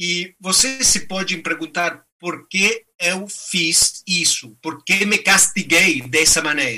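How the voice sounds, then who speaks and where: At a very slow pace with hardly any pauses, a man speaks at a high pitch with a Spanish accent. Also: ordinary pitch variation. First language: Spanish (speaking Portuguese). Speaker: ultramarathon runner and activist. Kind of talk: motivational talk.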